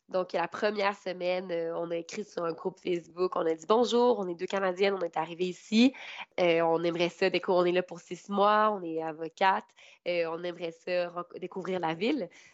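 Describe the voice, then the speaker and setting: In a plain, everyday voice, a woman speaks at a moderate pace with fairly low pitch and fairly even intonation. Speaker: law graduate intern abroad. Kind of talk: interview.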